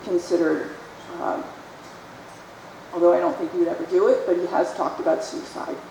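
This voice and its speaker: The voice here belongs to a woman. Both audible room echo and noticeable background noise can be heard. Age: 60s. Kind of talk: testimony.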